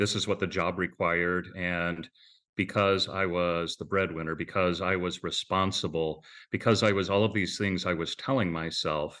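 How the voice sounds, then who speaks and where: A man talks at a moderate pace with fairly even intonation and a very deep, low pitch. The background is quiet. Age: 50s. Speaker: mortgage company president. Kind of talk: interview.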